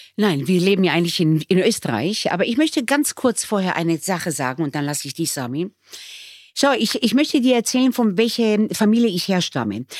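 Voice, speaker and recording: A woman at a fairly quick pace, her pitch swinging very widely. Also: medium pitch for a woman. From Israel, raised in Bremen from age nine. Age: 60s. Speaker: restaurateur. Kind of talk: emotional conversation.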